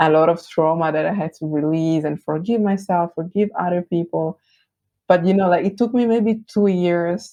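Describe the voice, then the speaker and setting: A woman with an Italian accent speaks at a moderate pace, her fairly low voice dark and mellow with ordinary pitch variation. The sound is dry and close, with no echo. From Italy. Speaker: branding agency founder. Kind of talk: podcast interview.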